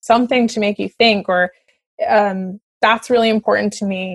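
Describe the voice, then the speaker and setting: A woman speaks in an ordinary speaking voice with a Canadian accent. She keeps a moderate pace and fairly even intonation. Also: dry, close sound with no echo. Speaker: opera singer. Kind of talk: casual chat.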